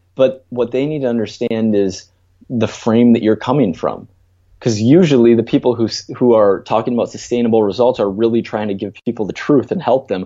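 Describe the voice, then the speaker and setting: In a normal speaking voice, a man with an American accent talks at a fairly quick pace and medium pitch with ordinary pitch variation. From Minnesota, US. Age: 20s. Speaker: strength coach. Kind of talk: interview.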